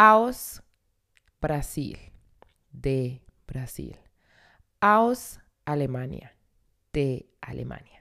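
Very slow speech from a woman, broken by long, frequent pauses. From Colombia, Vélez (Santander). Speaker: language teacher. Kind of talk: language lesson.

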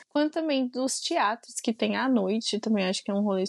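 The sound is dry and close with no echo as a woman talks at a moderate pace. Her voice is fairly high-pitched, with ordinary pitch variation. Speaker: podcast co-host. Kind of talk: casual chat.

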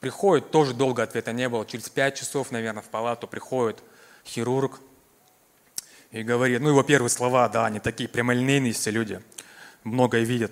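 Speaking at a fairly quick pace, a man leaves long, frequent pauses. His pitch is medium. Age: 30s. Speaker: cancer survivor giving testimony. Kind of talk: testimony. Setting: church service.

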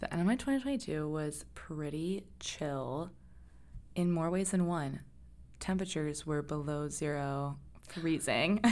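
Soft-spoken, a woman talks at a fairly slow pace with a very deep, low pitch. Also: ordinary pitch variation. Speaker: podcast host. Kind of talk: casual chat.

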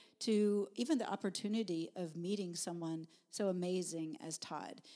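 A woman with an American accent speaks in a dark, mellow tone at a fairly low pitch, with ordinary pitch variation. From Texas. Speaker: naturopathic doctor and wellness speaker. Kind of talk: casual interview, personal testimony.

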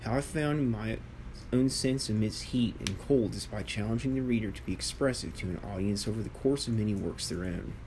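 In an American accent, a man speaks at a fairly quick pace with audible room echo. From United States. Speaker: author reading own book. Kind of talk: reading aloud.

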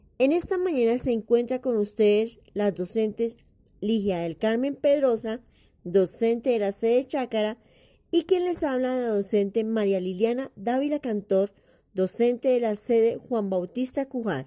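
A woman talks at a fairly slow pace with a fairly high pitch and a dark, mellow tone. Her intonation is lively. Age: 40s. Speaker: schoolteacher and school radio presenter. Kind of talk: educational radio program presentation. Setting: local radio broadcast.

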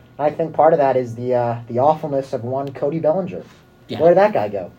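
A man talks in an ordinary speaking voice at medium pitch. His pace is fairly quick and his intonation lively. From US West Coast, San Francisco Bay Area. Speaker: college radio co-host. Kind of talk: casual sports talk. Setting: studio.

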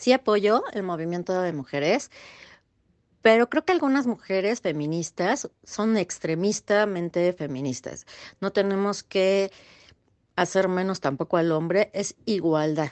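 This woman has an ordinary speaking voice, medium in pitch, with lively intonation. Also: fairly slow pace. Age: 30s. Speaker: assistant. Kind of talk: recorded interview answers.

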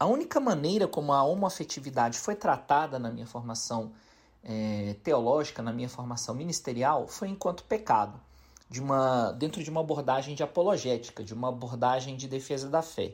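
A man talks at a fairly quick pace in a medium pitch, with a plain, everyday voice. The recording is very clean, with a silent background. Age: 40s. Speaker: pastor. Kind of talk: recorded testimony.

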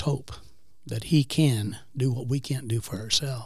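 A somewhat breathy man at a fairly high pitch, in a very clean recording with a silent background. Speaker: guest co-host. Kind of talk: casual chat.

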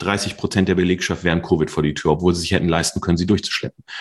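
This man's very deep, low voice races along at a very fast pace. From Ruhr area, Germany (Mülheim/Duisburg). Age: 40s. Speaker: tech entrepreneur and CEO. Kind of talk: interview. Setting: video call.

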